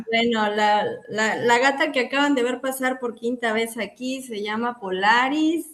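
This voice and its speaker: Over noticeable background noise, a woman speaks at a moderate pace in a fairly high voice with ordinary pitch variation. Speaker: psychologist. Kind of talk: casual interview chat.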